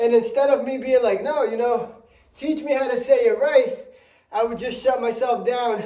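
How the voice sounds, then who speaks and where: A dark, mellow tone with fairly even intonation at a moderate pace. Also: man. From Spanish-speaking country, moved to US at about eight. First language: Spanish. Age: 30s. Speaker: fitness vlogger. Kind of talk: casual vlog talk while exercising.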